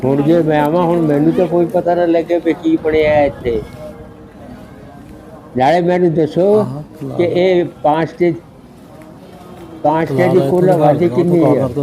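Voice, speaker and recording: Over noticeable background noise, a man with a fairly high voice keeps his loudness very even and his intonation fairly even. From Phagwara area, East Punjab, India. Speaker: partition migrant. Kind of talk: interview answer.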